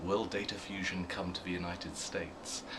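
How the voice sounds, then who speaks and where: Amid audible room echo, a man with a British accent speaks at a fairly quick pace in a very deep, low pitch, his intonation fairly even. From UK. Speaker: media research executive. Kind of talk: interview. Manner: hesitant, with fillers and repeats.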